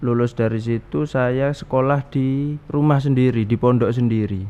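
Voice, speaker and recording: Amid noticeable background noise, a man talks with fairly even intonation. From East Java, Pasuruan. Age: 20s. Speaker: young Islamic cleric. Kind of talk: talk show interview.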